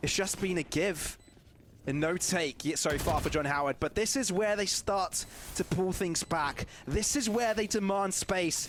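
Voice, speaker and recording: A moderate pace over noticeable background noise. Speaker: esports caster. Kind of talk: live commentary.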